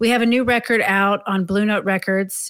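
A woman with an unremarkable speaking voice talks at a moderate pace in a medium pitch. Her intonation is fairly even, on a very clean recording with a silent background. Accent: American. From Maryland, outside Washington DC. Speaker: jazz drummer and composer. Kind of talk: interview.

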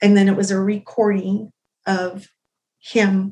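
The woman speaks in an American accent at a medium pitch, sounding somewhat breathy. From Utah, US. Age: 40s. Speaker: domestic abuse survivor. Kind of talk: testimony.

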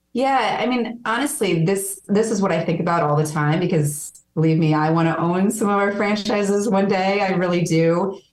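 A woman talks at a moderate pace and medium pitch, with ordinary pitch variation, very even loudness and hardly any pauses. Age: 40s. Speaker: fitness company president. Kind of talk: interview. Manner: animated.

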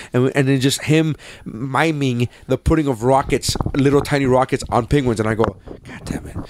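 Amid noticeable background noise, a man speaks with fairly even intonation and big swings in loudness. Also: medium pitch for a man, moderate pace. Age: 20s. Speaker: podcast host. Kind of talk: casual chat.

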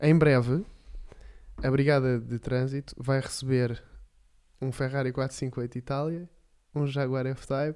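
This man's voice has a dark, mellow tone. He talks at a fairly slow pace with flat, monotone intonation. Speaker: podcast co-host. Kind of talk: casual chat.

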